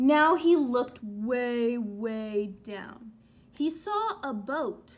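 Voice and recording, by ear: Very slowly, a woman talks at a fairly high pitch with lively intonation.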